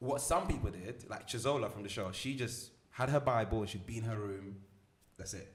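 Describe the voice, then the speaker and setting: Somewhat breathy, a man talks at a medium pitch and a fairly quick pace. His pitch varies in an ordinary way, and audible room echo surrounds him. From Milan, Italy. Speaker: motivational speaker and entrepreneur. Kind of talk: podcast interview. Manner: confident, articulate.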